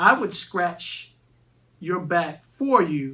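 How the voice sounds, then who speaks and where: A woman puts on a character voice. Her pitch is fairly low. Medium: read story.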